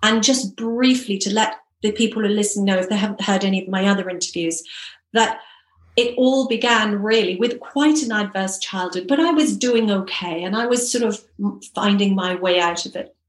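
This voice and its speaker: Speaking at a moderate pace in a British accent, a woman with a fairly high pitch shows ordinary pitch variation. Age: 50s. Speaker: hypnotherapist and personal success coach. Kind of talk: interview.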